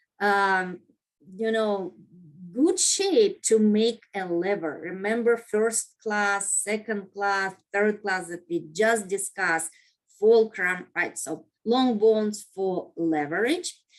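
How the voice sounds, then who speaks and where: A woman speaks very slowly at medium pitch with a non-native accent. The background is quiet. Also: ordinary pitch variation. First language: not English. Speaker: anatomy instructor. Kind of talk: lecture. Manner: halting, many fillers.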